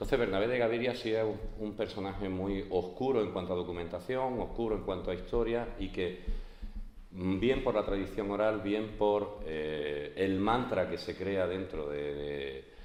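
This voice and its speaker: Delivery is fairly slow with ordinary pitch variation. Audible room echo and noticeable background noise are present. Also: man, fairly low pitch for a man. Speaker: art historian lecturer. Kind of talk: lecture. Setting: conference hall with audience. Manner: hesitant, many fillers. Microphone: speaking without microphone.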